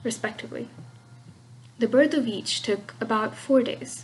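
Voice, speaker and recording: A woman with a slight Russian accent speaks at a fairly high pitch, her voice swinging very widely up and down. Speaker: podcast co-host, myth storyteller. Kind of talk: scripted narration. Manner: halting over difficult names.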